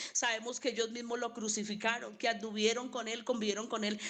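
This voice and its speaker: Audible room echo surrounds a woman as she talks. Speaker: Bible teacher. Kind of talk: Bible class lecture. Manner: halting.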